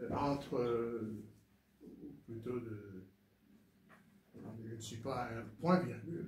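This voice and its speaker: Over audible room echo, a man speaks very slowly at a medium pitch with ordinary pitch variation and long, frequent pauses. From Rwanda. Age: 70s. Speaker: former ambassador. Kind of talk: interview testimony. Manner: hesitant, many fillers.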